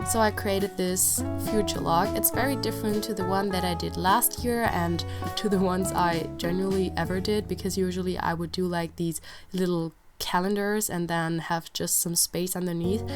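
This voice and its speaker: Over music in the background, a woman with a very deep, low pitch speaks at a moderate pace with very wide pitch swings. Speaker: bullet journal creator. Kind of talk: casual talk to camera.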